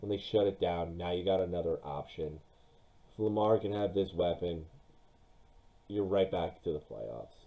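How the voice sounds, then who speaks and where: A man with a very deep, low pitch, ordinary pitch variation and a moderate pace. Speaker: sports YouTuber. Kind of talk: solo commentary on NFL mock draft. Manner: animated.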